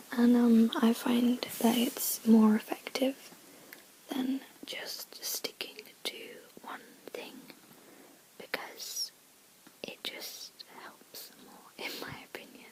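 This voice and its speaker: A woman's whisper at a very slow pace, with long, frequent pauses, big swings in loudness and noticeable background noise. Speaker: ASMR creator. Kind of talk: ASMR reading aloud. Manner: whispered and soft-spoken.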